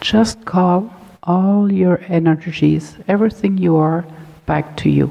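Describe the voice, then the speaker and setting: Here someone talks at a fairly slow pace with a slight German accent and fairly even intonation. The tone is calm, and there is noticeable background noise. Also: woman. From Germany. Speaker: holistic health educator. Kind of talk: talk to a support group; guided meditation. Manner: slow, calm.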